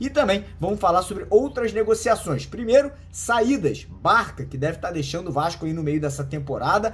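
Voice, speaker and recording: A man talks with hardly any pauses. His high voice makes very wide pitch swings. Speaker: football news youtuber. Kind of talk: casual news commentary. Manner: fast; animated.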